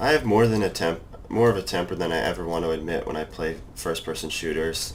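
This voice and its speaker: Very deep and low, this man's voice has ordinary pitch variation and a slight Massachusetts accent. He talks very fast over noticeable background noise. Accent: little Massachusetts. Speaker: gamer. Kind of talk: casual chat while gaming.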